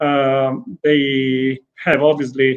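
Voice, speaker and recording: Fairly even intonation accompanies an Italian accent. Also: man. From Italy. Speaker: racing team sporting director. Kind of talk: interview. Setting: remote video call. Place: home room. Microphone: video call.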